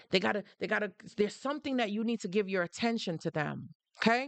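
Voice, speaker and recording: A woman with a Jamaican accent speaks in an animated tone at a medium pitch with lively intonation, in a dry, close recording with no echo and a quiet background. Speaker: live-stream host on narcissistic abuse. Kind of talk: live stream talk.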